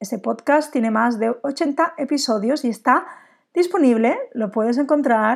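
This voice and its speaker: On a very clean recording with a silent background, a woman talks fairly slowly at a fairly high pitch. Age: 40s. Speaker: business coach and podcast host. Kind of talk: solo podcast monologue.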